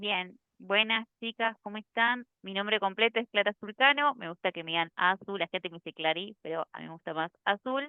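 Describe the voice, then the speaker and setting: A woman speaks at a moderate pace in a medium pitch, with ordinary pitch variation and hardly any pauses. It is an unremarkable speaking voice, with big swings in loudness. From Argentina, Córdoba city. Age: 30s. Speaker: UX design instructor and photographer. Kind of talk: casual workshop chat. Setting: video call.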